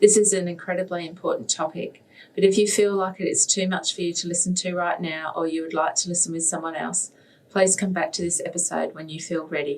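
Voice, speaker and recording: Fairly low-pitched woman with an Australian accent, fairly quick pace, monotone, flat intonation. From Western Australia. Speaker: podcast host. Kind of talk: scripted intro and interview.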